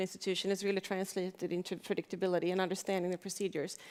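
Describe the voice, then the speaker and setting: A woman talks at a very fast pace with a Swedish accent. Her pitch is medium. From Sweden. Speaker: arbitration institution head. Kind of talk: panel discussion. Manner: hesitant, with repetitions.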